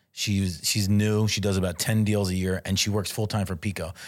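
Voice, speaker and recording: The speaker has a Philadelphia accent and a moderate pace. The recording is very clean, with a silent background. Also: man. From US, South Philadelphia. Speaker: real estate agent, former restaurant owner. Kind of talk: casual chat.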